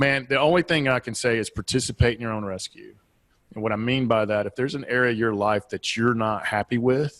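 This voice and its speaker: A man with a Southeastern US accent talks at a fairly quick pace and medium pitch, with ordinary pitch variation and a dry, close sound with no echo. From US Southeast. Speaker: business and life coach, author. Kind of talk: podcast interview.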